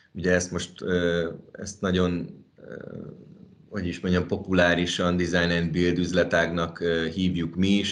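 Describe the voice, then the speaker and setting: Speaking at a fairly slow pace, a man with a very deep, low pitch talks in a monotone, flat intonation amid audible room echo. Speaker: managing partner of a design and construction firm. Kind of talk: interview. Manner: halting, many fillers.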